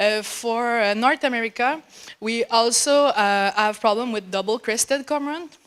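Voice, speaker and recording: In a French accent, a woman talks at a fairly high pitch with ordinary pitch variation on a very clean recording with a silent background. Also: moderate pace. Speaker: graduate student researcher. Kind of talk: conference talk. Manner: halting.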